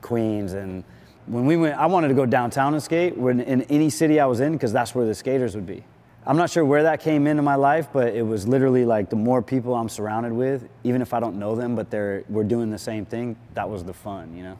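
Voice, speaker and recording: With a dark, mellow tone and ordinary pitch variation, a man speaks at a fairly quick pace. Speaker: interviewee. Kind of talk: interview answer. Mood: relaxed, nostalgic. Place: garage. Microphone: lapel.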